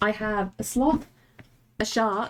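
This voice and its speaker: A woman with an English accent. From England. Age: 30s. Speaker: artist streamer. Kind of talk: casual chat. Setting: live stream. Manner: animated.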